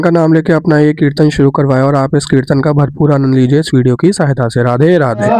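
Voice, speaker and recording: Over noticeable background noise, a man with a fairly high pitch talks at a fairly quick pace with hardly any pauses and very even loudness. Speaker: devotional vlogger. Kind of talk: vlog narration.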